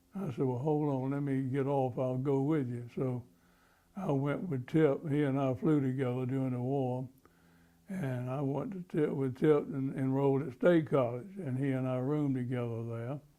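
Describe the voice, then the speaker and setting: In an eastern North Carolina accent, a man talks at a moderate pace with a medium pitch and a dark, mellow tone. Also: ordinary pitch variation. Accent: Southern US (eastern North Carolina). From North Carolina, Rocky Mount. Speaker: war veteran. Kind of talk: oral history interview. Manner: halting, many fillers and restarts.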